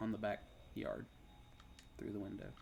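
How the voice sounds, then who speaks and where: Here a man speaks with a Kentucky accent. His pace is moderate. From US South, Kentucky. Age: 30s. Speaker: game streamer. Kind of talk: casual chat. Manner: halting.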